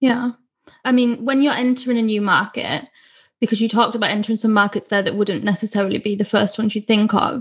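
A woman's somewhat breathy, fairly high voice at a very fast pace. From northeast England. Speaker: podcast host, marketing agency co-founder. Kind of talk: interview.

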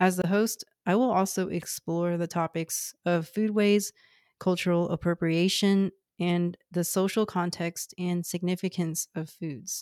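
Recorded very cleanly against a silent background, with a dry, close sound and no echo, a woman with a fairly low pitch talks at a fairly slow pace in fairly even intonation. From Houston, Texas. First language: Cantonese. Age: 30s. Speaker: podcast host, public health nutrition background. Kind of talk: scripted narration.

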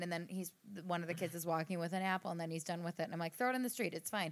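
A woman with an American accent and a medium pitch speaks at a very fast pace. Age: 30s. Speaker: podcast co-host. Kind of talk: casual chat. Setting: home recording studio.

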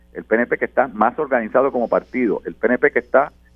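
Music plays in the background. A man with a medium pitch talks at a fairly quick pace. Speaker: politician. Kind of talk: political panel discussion.

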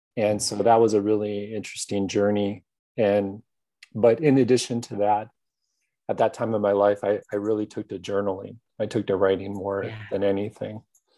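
With a dark, mellow tone and monotone, flat intonation, a man speaks at a moderate pace over a quiet background. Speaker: grief app founder and grief counselor. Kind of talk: interview about personal story.

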